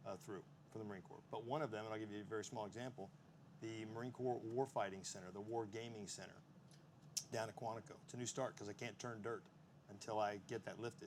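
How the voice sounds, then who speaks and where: A man with a Texan accent speaks at a very fast pace. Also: medium pitch for a man, ordinary pitch variation. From Texas. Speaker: Marine Corps officer on defense panel. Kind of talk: panel discussion answer.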